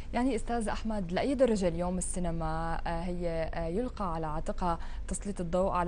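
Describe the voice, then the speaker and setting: A plain, everyday voice moves at a moderate pace over light background noise. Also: woman. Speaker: TV show host. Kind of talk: TV interview. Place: studio. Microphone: lapel.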